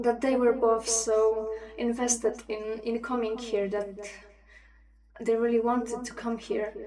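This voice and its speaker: Long, frequent pauses break up a woman's fairly high-pitched voice, which has a dark, mellow tone and monotone, flat intonation. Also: fairly slow pace. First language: not English. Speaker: livestream host. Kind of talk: casual chat. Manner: hesitant, many fillers.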